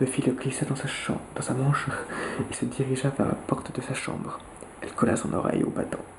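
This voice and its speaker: Whispering and soft-spoken, a man keeps a moderate pace against noticeable background noise. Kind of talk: whispered audiobook-style reading of a novel, ASMR. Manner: whispered, soft.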